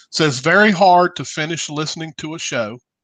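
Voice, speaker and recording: A man with a Southern US accent, a bright, sharp tone, ordinary pitch variation and a moderate pace, in a dry, close sound with no echo. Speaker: radio show host. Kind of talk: casual chat.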